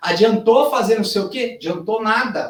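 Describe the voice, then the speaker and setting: The speaker has an animated tone, ordinary pitch variation and a moderate pace. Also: man. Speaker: fashion business consultant. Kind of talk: lecture.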